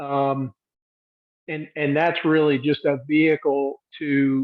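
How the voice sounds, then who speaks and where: Speaking very slowly in an American accent, a man keeps a monotone, flat intonation at a fairly high pitch, with long, frequent pauses. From US South, Georgia. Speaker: program participant. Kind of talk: casual chat.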